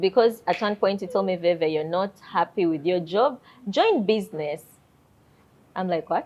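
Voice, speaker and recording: A woman's voice with ordinary pitch variation and long, frequent pauses. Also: medium pitch for a woman, moderate pace. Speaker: singer and wife in a couple interview. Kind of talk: casual interview. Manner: loud; talkative.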